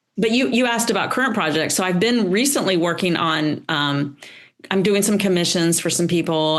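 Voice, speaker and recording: With a Southern US accent, a woman speaks at a fairly low pitch and a moderate pace, her intonation lively and her loudness very even. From US South, North Carolina. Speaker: painter and art teacher. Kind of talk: interview. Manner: halting, many fillers.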